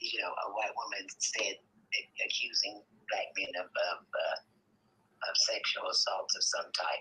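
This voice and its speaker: A woman speaks at a moderate pace. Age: 60s. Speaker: caller. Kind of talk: call-in comment. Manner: halting.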